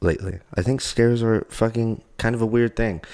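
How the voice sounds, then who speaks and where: Speaking at a moderate pace, a man has an ordinary speaking voice and a fairly low pitch. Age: 20s. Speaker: podcast co-host. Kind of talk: casual chat.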